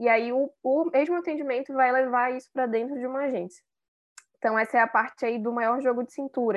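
Ordinary pitch variation marks this fairly quickly paced talking. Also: woman. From Manaus, Brazil. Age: 20s. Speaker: public relations and advertising professional. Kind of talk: casual interview.

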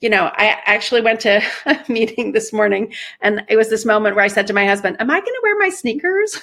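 A woman speaks very fast in a bright, sharp tone, her fairly high pitch showing ordinary variation. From Iran. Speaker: marketing executive. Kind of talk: interview.

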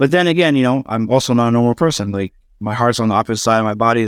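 Someone with an American accent talks at a very fast pace. The sound is dry and close with no echo, and the recording is very clean against a silent background. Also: man. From US Northeast (New York, Pennsylvania). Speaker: salesperson turned entrepreneur. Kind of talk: interview.

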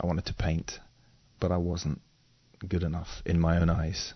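A man with a slight English accent speaks at a very deep, low pitch. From England. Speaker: photographer and drummer. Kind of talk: interview conversation.

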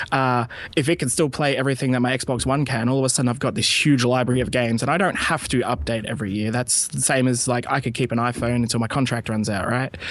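A man with an Australian accent talks at a very fast pace in a medium pitch. His intonation is fairly even, and there is noticeable background noise. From rural Australia. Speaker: indie game publishing community manager. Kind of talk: casual interview. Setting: Skype call.

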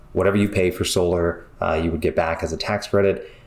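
This man has a plain, everyday voice, pitched fairly low, with fairly even intonation. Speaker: solar company representative. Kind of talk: industry update.

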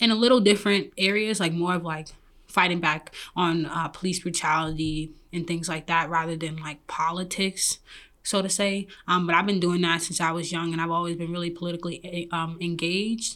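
Speaking at a fairly quick pace, a woman has a fairly low pitch and a bright, sharp tone. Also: fairly even intonation, very clean recording, silent background. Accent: New York. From Brooklyn, New York. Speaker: app founder. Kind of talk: interview.

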